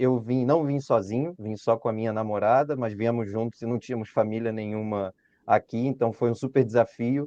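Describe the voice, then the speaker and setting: A man's dark, mellow voice at medium pitch with fairly even intonation. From Brazil, Rio de Janeiro city. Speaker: engineering consultant and former student. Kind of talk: webinar presentation.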